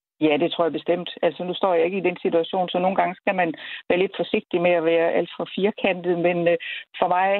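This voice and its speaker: Monotone and flat, a woman's fairly low voice proceeds at a moderate pace. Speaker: medical professor and ethics council chair. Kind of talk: expert interview.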